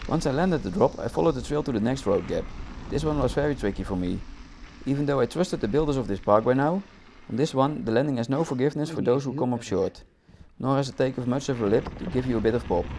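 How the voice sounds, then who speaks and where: This speaker, with a non-native accent and a dark, mellow tone, talks at a very fast pace with ordinary pitch variation. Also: man, medium pitch for a man. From Netherlands. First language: Dutch. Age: 30s. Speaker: mountain bike vlogger. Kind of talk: video voice-over narration.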